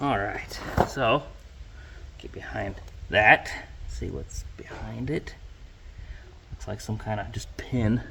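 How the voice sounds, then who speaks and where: Over noticeable background noise, a man speaks at a very slow pace with long, frequent pauses and big swings in loudness. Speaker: hobby farmer and mechanic. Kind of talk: tutorial. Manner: halting.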